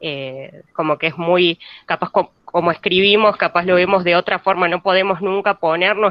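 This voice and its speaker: A woman with a Buenos Aires accent speaks at a fairly low pitch. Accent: Buenos Aires (porteño). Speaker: university student. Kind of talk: class discussion comment. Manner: halting, many fillers.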